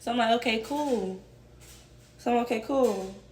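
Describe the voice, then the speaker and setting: In a room with audible echo, a woman with a high pitch speaks at a fairly quick pace. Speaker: storytime vlogger. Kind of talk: casual storytelling. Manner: casual, conversational.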